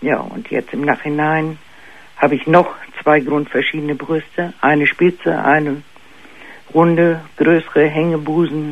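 A fairly slow delivery broken by long, frequent pauses. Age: 50s. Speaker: caller. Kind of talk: personal story by phone. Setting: phone call. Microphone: phone line.

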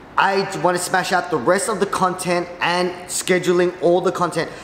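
Over light background noise and audible room echo, a man speaks at a moderate pace in a high pitch. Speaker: vlogger. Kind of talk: casual vlog chat. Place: office.

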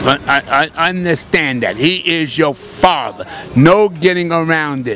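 A man's fairly high voice, very slow in pace, with ordinary pitch variation, a dry sound with no echo and light background noise. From New York. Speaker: Nation of Islam religious teacher. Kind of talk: street preaching and promotion. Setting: outdoors on a street. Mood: insistent, preaching tone. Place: street. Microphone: handheld.

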